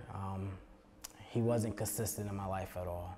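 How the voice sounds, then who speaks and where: A man speaks with an American accent and fairly even intonation. Noticeable background noise runs behind him. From US Northeast, Philadelphia. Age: 20s. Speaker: recovery ministry outreach worker. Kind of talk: personal testimony. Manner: hesitant, with many fillers.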